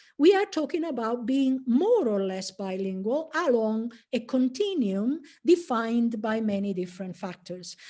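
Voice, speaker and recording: A woman with an Italian accent and a dark, mellow tone speaks fairly slowly at a fairly high pitch, with very wide pitch swings and hardly any pauses, against a quiet background. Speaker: professor. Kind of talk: lecture. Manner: halting, many fillers.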